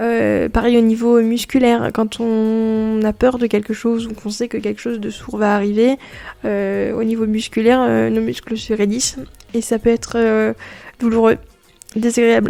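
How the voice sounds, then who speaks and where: Delivered at a fairly slow pace, the speech is monotone with flat intonation. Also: woman, fairly high pitch for a woman. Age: 20s. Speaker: podcaster. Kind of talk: personal testimony podcast. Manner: hesitant with many fillers.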